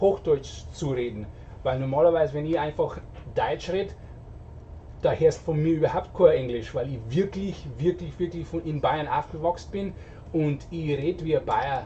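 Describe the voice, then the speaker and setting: A man with a strong Bavarian accent at a moderate pace, over light background noise. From Bavaria, Germany. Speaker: streamer. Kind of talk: casual chat. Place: home room.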